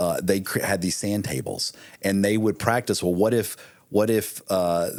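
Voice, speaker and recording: A man with an unremarkable speaking voice, fairly low in pitch, at a moderate pace, on a very clean recording with a silent background. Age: 50s. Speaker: military veteran and marketing author. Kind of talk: casual interview chat.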